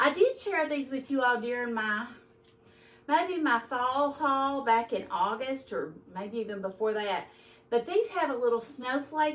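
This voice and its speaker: With a Kentucky accent, a woman talks at a fairly slow pace and a high pitch, her intonation lively. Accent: country Kentucky speech. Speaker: lifestyle vlogger. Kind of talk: casual haul video.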